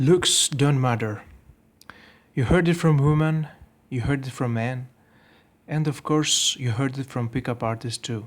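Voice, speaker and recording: The speaker talks at a fairly slow pace with a non-native accent and ordinary pitch variation. Long, frequent pauses break up the speech. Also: man, medium pitch for a man, very clean recording, silent background. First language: not English. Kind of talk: video commentary voice-over.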